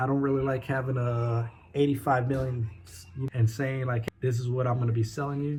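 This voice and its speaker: A somewhat breathy man's voice at medium pitch. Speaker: vlogger, new entrepreneur. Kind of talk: casual vlog monologue. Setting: home desk setup. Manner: fast.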